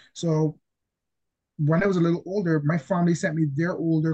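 A man speaks at a moderate pace. His tone is dark, mellow and somewhat breathy. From Barbados. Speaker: comic book writer. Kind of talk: interview.

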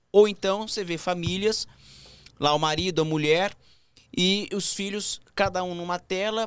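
In a very clean recording with a silent background, a man with a high pitch talks at a fairly slow pace. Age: 30s. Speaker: podcast host. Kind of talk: casual chat.

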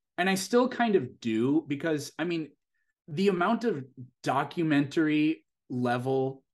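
Speaking at a fairly slow pace with an American accent, a man has an unremarkable speaking voice over a quiet background. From US Midwest, South Dakota. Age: 30s. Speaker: science educator and content creator. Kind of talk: podcast interview, casual chat. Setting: remote podcast recording.

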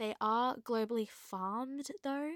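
A woman speaks at a fairly slow pace in an Australian accent, with ordinary pitch variation. The sound is dry and close, with no echo. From Australia, Queensland. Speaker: wildlife podcast host. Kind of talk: solo educational talk.

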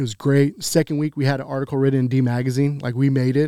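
A dark, mellow tone in a Texan accent, with fairly even intonation and a fairly quick pace, on a very clean recording with a silent background and a dry, close sound with no echo. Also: man. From Texas, Grand Prairie. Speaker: barbecue pitmaster and restaurant owner. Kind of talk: casual interview.

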